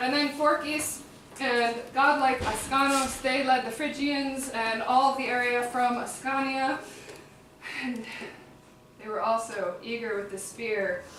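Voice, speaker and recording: Speaking at a fairly slow pace with a Chicago accent, a woman uses a high pitch and fairly even intonation over noticeable background noise and audible room echo. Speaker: performer-translator of epic poetry. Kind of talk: live oral translation performance. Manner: casual, conversational asides.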